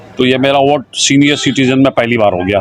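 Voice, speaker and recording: A man with a medium pitch talks at a moderate pace over noticeable background noise. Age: 60s. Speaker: voter interviewed on the street. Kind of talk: street interview.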